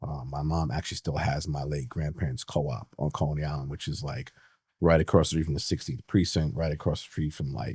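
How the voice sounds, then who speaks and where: Very deep, low-pitched man's voice in a New York accent, with vocal fry, a fairly quick pace, ordinary pitch variation and big swings in loudness. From New York City (Manhattan, Brooklyn). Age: 40s. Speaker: retired police detective. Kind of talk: interview conversation.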